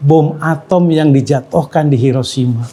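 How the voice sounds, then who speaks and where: Here a man speaks at a fairly high pitch. His tone is dark and mellow. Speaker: Islamic teacher. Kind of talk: Islamic science lecture.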